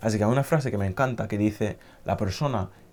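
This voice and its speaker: A man talks in a fairly low voice with ordinary pitch variation. Music plays in the background. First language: not Spanish (learned Spanish) (speaking Spanish). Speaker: language learning youtuber. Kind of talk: motivational talk to camera.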